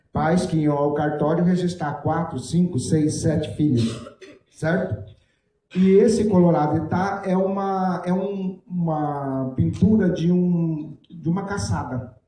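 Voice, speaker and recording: In a room with audible echo, a man speaks very slowly in a high voice with ordinary pitch variation. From Brazil, Mato Grosso do Sul (Jardim). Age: 60s. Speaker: writer. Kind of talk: panel talk. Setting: stage with audience.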